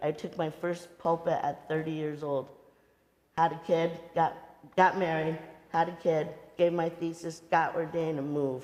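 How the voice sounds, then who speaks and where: A woman talks at a moderate pace in a fairly low pitch, her intonation monotone and flat. She leaves long, frequent pauses. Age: 60s. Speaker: rabbi and author. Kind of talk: talk with audience Q&A. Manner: halting, repeats words.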